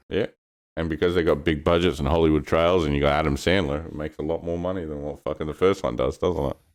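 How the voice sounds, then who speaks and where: This man talks at a very fast pace with a very deep, low pitch. His intonation stays fairly even, and vocal fry runs through it. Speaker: podcast co-host. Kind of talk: casual chat.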